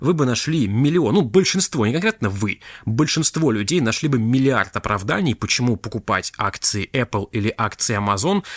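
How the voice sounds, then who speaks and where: A man speaks in a plain, everyday voice at medium pitch and a moderate pace. His intonation is lively. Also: dry, close sound with no echo, very clean recording, silent background. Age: 20s. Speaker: podcast host, crypto investor. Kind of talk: solo monologue podcast. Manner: casual, conversational.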